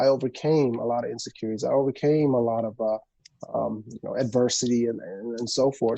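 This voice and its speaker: Speaking at a fairly quick pace, a man uses a medium pitch and a dark, mellow tone with ordinary pitch variation. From immigrant family, grew up in the US. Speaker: film producer and former pro athlete. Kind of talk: podcast interview.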